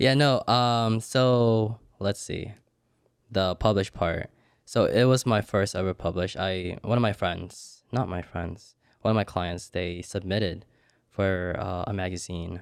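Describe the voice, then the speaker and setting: A man's fairly low voice at a fairly slow pace, with ordinary pitch variation, in a very clean recording against a silent background. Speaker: photographer. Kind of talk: casual chat. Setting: studio. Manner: soft-spoken; reserved, introverted.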